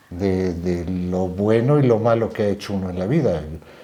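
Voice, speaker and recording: A man speaks with a very deep, low pitch and fairly even intonation. Noticeable background noise sits behind him. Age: 70s. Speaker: descendant of historical generals, storyteller. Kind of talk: interview, casual storytelling.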